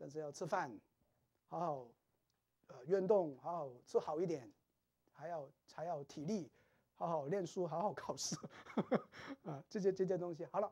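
A man at a moderate pace with long, frequent pauses, over a quiet background. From Teochew-speaking Chinese background. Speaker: seminary lecturer. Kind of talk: lecture. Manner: halting, many fillers. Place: classroom. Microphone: lapel.

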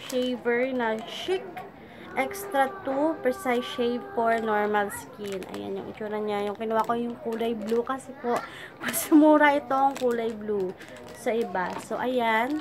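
A woman speaks very slowly in a high voice with ordinary pitch variation. The room echo is audible and background noise is noticeable. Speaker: vlogger. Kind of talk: casual vlog haul. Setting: at home. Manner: halting, stop-start.

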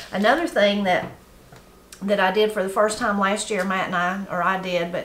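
A woman with fairly even intonation, with audible room echo and light background noise. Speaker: gardening channel host. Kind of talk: casual tutorial chat. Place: home room.

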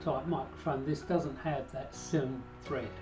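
Clear music runs in the background. Over it, a man talks. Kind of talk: tutorial. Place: home room. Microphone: camera far.

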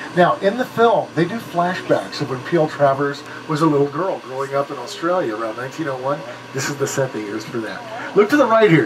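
A man talks at a fairly quick pace with very wide pitch swings. Noticeable background noise is present. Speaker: studio tour guide. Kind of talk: tour guide commentary. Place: bus.

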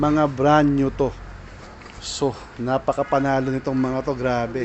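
A man talks at a very slow pace. There is light background noise behind him. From Philippines. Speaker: vlogger; shopping vlogger. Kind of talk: shopping vlog walkthrough. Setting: in a surplus store. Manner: animated. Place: shop. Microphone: phone near.

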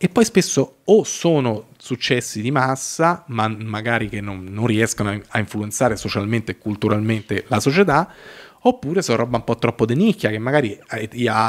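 A man speaks at a moderate pace, his pitch varying in an ordinary way, with a quiet background behind him. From Italy. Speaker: filmmaker and web series creator; podcast guest. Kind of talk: casual chat. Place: studio. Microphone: studio mic.

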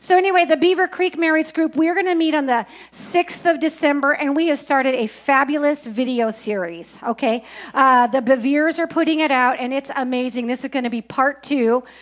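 A woman talks at a fairly quick pace with a high pitch. Her voice shows ordinary pitch variation. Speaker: church announcer. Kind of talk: church announcements. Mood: humorous, lively. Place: church. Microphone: handheld.

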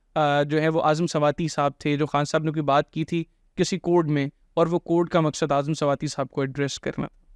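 Against a quiet background, a man talks at a moderate pace in a fairly high pitch with monotone, flat intonation and a dry sound with no echo. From Pakistan. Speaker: podcast host. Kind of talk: interview. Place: studio. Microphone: studio mic.

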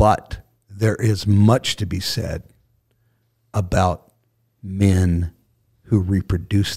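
A man's very deep, low, somewhat breathy voice at a very slow pace, with fairly even intonation, long, frequent pauses and a quiet background. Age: 60s. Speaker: bishop, retired pastor. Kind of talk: casual chat. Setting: studio. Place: studio. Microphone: studio mic.

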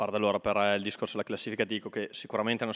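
Against a quiet background, a man talks in a monotone with flat intonation and a fairly low pitch. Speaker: football coach. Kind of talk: post-match interview. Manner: hesitant, repeats words. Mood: calm, satisfied. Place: home room. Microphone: handheld.

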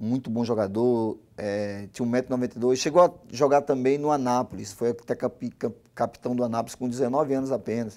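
A man with a medium pitch and a dark, mellow tone talks at a fairly quick pace with fairly even intonation and hardly any pauses. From Brazil, Gama (Brasília), Northeastern parents; Brazil. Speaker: former footballer, football coach; football coach. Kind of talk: interview. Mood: somber, talking about family loss. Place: studio. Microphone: lapel.

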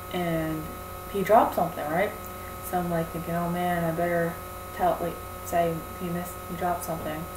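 Fairly slow pace with clear background noise. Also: woman.

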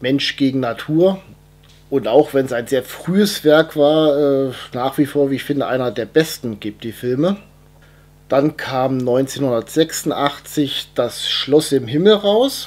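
A man's fairly unhurried speech with a normal amount of pitch movement. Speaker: film collector reviewing his collection. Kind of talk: casual vlog chat. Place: home room.

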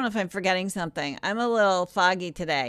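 A woman's bright, sharp, animated voice comes across dry, with no echo. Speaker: online event moderator. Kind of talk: casual chat. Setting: video call. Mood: relaxed, a bit tired. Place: home room. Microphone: studio mic.

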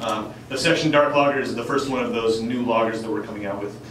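Over light background noise, a man speaks with audible room echo. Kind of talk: informal presentation to audience. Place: bar.

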